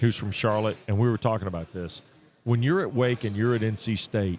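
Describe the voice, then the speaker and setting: Medium-pitched speech from a man in an ordinary speaking voice, with ordinary pitch variation. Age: 50s. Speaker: college football broadcaster. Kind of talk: casual chat.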